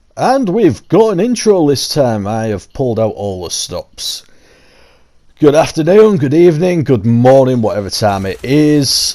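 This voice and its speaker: Speaking with a Yorkshire accent, a man uses a fairly high pitch with very wide pitch swings at a fairly slow pace. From Yorkshire, England. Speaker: gaming YouTuber. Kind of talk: casual game tour commentary.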